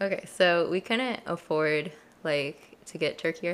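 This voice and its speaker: A woman speaks with ordinary pitch variation. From Colorado. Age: 20s. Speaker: university student. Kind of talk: casual chat.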